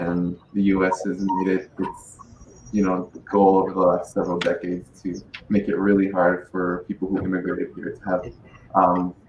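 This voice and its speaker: Over noticeable background noise, a man with a very deep, low pitch speaks at a moderate pace in a flat monotone. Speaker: podcast panelist. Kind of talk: panel discussion. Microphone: muffled, not projecting into mic.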